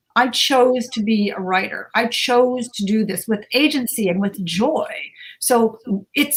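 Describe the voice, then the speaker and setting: Somewhat breathy, a woman speaks with a fairly high pitch. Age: 70s. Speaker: TV reporter and novelist. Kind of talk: panel discussion. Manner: animated.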